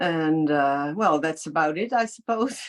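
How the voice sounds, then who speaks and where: On a very clean recording with a silent background, a woman can be heard. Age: 60s. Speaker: library cultural programmer. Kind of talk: casual interview chat.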